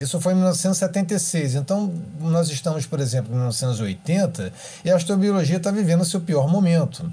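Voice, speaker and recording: The voice moves at a moderate pace with ordinary pitch variation. Its tone is dark and mellow. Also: man. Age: 50s. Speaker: astrophysicist and professor. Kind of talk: interview, explanatory.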